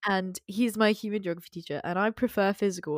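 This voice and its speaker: At a fairly quick pace and medium pitch, a woman speaks with fairly even intonation in a very clean recording with a silent background and a dry, close sound with no echo. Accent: English. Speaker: podcast host, school student. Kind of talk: casual chat.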